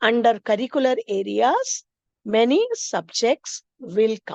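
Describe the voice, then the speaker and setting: Very slow speech with an Indian accent, heard in a dry, close recording with no echo. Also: woman. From India, Maharashtra. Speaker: teacher trainer, English teacher. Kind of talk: teacher training lecture. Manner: explanatory, with frequent fillers.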